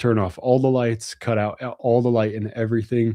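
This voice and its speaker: The voice has a relaxed, dark and mellow tone. It moves at a moderate pace. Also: man. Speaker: gun channel host. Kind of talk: livestream Q&A chat. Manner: casual, relaxed.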